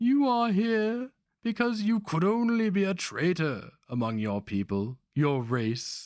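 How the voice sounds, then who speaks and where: A man's put-on character voice, high-pitched and hissing, with very wide pitch swings and a fairly slow pace. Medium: read story. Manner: hissing, insinuating.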